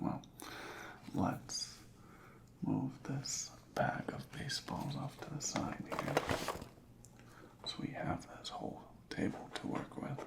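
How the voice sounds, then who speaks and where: Whispering in a relaxed tone, a man goes at a very slow pace with long, frequent pauses. Noticeable background noise can be heard. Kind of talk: asmr roleplay inspection, soft spoken. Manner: soft-spoken, relaxed, with some whispering.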